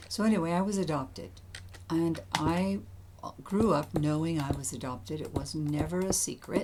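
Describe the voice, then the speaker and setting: A woman's very deep, low pitch with very wide swings, moderate pace, and audible room echo. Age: 70s. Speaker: gaming YouTuber. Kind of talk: casual gameplay commentary and personal storytelling. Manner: halting.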